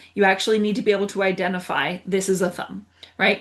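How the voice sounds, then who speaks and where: A woman speaks at a moderate pace. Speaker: wellness teacher. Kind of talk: guided exercise tutorial. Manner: animated.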